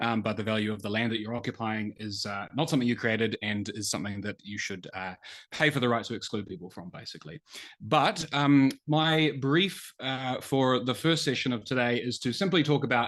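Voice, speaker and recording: Against a quiet background, a man with a New Zealand accent talks at a fairly quick pace and medium pitch with lively intonation. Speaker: economist, think tank researcher. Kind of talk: webinar presentation. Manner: many filler words (um, uh).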